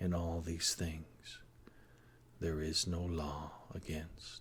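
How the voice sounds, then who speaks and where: Very deep and low, a man's somewhat breathy voice drags at a very slow pace with monotone, flat intonation. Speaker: hypnotherapist. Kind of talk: guided hypnosis session.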